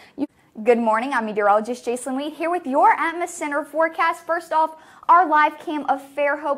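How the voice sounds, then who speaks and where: The speaker has an upbeat tone and lively intonation at a moderate pace. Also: woman. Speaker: meteorologist. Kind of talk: weather forecast. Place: studio. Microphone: lapel.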